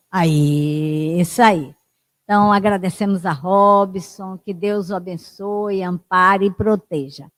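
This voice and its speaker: A woman's medium-pitched voice, with ordinary variation in pitch, comes at a very slow pace. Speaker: session moderator at spiritist center. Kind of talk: closing remarks. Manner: soft-spoken.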